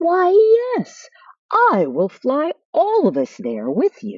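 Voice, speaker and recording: Using a put-on character voice, a woman speaks in a high, squeaky tone at a very slow pace. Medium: read story. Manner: kind, gracious.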